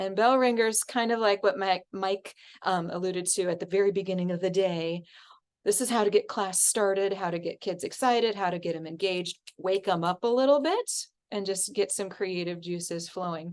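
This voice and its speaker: Pitch varies in an ordinary way as a woman talks at a medium pitch. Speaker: music teacher and course instructor. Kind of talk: online class lecture. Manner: fast; energetic.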